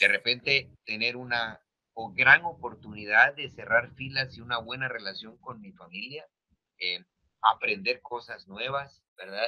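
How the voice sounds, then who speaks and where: Here a man talks at a fairly slow pace. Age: 60s. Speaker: lecturer and speaker. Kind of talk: panel talk. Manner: halting, many fillers.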